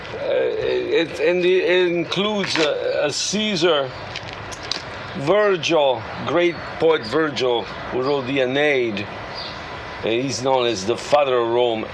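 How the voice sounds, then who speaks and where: Pitched fairly high, a man speaks at a very slow pace with lively intonation. Noticeable background noise and audible room echo fill the recording. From Italy, Naples. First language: Italian. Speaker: artist and pizza maker. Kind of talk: documentary interview.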